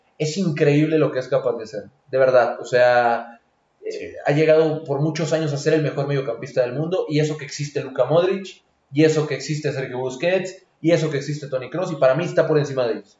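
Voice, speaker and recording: This is a plain, everyday voice. The man speaks at a fairly high pitch with fairly even intonation. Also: fairly quick pace. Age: 20s. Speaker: football pundit. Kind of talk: casual chat.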